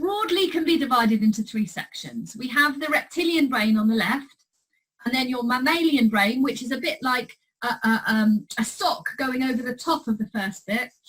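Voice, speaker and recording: High pitch and lively intonation in the voice of a woman. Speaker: clinical psychologist. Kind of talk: recorded presentation. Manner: fast.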